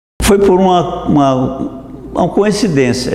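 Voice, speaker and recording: A man speaks with ordinary pitch variation. There is audible room echo and noticeable background noise. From Brazil, Minas Gerais countryside. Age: 80s+. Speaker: dentist. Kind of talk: interview testimony. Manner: halting, with many restarts.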